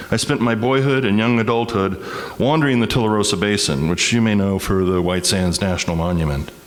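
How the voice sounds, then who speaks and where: At a fairly quick pace, a man speaks with ordinary pitch variation, accompanied by audible room echo and noticeable background noise. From Texas, El Paso. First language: Spanish. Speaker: community speaker. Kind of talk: personal testimony.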